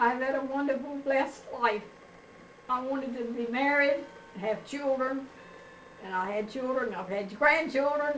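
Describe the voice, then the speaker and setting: With a North Carolina accent, a woman speaks at a fairly slow pace and high pitch with ordinary pitch variation, amid noticeable background noise and audible room echo. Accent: Southern US (North Carolina). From US South, North Carolina. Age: 70s. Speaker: grandmother being interviewed. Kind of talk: family oral history interview.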